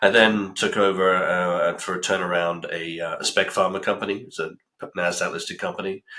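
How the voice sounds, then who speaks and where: The speaker is a man with a British accent. His pace is fairly quick. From UK. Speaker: pharma company CEO. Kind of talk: interview. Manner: halting, many fillers.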